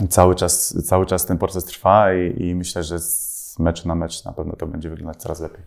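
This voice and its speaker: Against a quiet background, a man talks at a moderate pace in a very deep, low pitch with monotone, flat intonation. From Poland, Mielec (Podkarpacie); Poland. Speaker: professional footballer. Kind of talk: interview answering fan questions. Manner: hesitant, many fillers and repetitions. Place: home room. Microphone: lapel.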